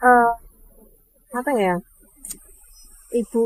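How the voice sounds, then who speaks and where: A woman talks at a fairly slow pace with fairly even intonation, the sound dry and close with no echo. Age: 40s. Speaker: food stall owner. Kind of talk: interview. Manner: halting.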